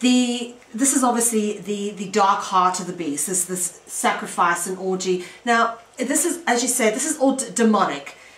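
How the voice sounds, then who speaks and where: A woman speaks at a moderate pace with hardly any pauses, in a fairly high pitch. Her intonation is lively, and there is noticeable background noise. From South Africa. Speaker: radio host and author. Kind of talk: interview. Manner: halting.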